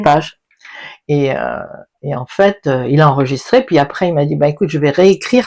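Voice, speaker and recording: This woman's voice sits very deep and low, with vocal fry and lively intonation. She keeps a moderate pace, broken by long, frequent pauses. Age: 70s. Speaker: retired English teacher. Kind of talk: interview answer. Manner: casual, chatty.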